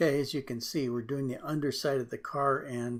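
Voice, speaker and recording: A man's medium-pitched, relaxed voice in a monotone, flat intonation at a moderate pace. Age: 60s. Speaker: drawing artist and tutor. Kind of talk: tutorial. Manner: relaxed, hesitant with fillers.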